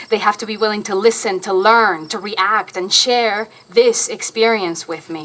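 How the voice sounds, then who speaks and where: At a moderate pace and medium pitch, a woman speaks with fairly even intonation over noticeable background noise. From Argentina. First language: Spanish. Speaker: stage actor. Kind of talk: public lecture.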